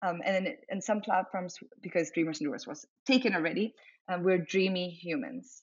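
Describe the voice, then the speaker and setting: At a fairly quick pace, a woman speaks in a somewhat breathy voice at a medium pitch. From grew up internationally (Africa, Germany, Asia). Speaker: entrepreneur, community founder. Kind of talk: casual interview.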